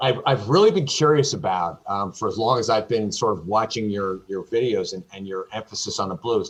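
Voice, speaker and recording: Over a quiet background, a man with a Northeastern US accent speaks at a moderate pace, with very wide pitch swings and big swings in loudness. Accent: American (Northeast). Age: 50s. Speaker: retired beginner harmonica player. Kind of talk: casual interview chat.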